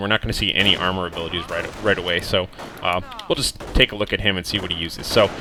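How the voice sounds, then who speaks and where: A man with an American accent talks at a very fast pace. Noticeable background noise runs behind him. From United States. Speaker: video game commentator. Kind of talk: game replay commentary. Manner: casual, filler-heavy.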